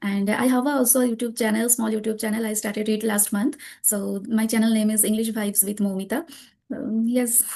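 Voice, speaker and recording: At a fairly quick pace, a woman speaks in a fairly high pitch with a dark, mellow, somewhat breathy tone and monotone, flat intonation. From Kolkata, West Bengal, India. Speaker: homemaker and English learner. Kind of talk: casual chat. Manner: halting.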